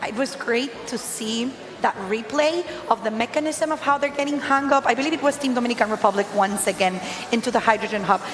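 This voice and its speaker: A fairly quick delivery with a non-native accent over noticeable background noise. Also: woman, high pitch for a woman, ordinary pitch variation. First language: not English. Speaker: live event commentator. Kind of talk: live commentary.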